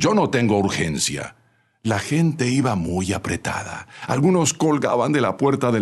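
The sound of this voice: Intonation here is lively. The delivery is an unforced reading voice.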